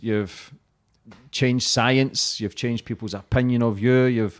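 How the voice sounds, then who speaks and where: In a Scottish accent, a man speaks at a medium pitch and a moderate pace. His tone is enthusiastic, and the recording is very clean with a silent background. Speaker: podcast host. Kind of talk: casual interview chat.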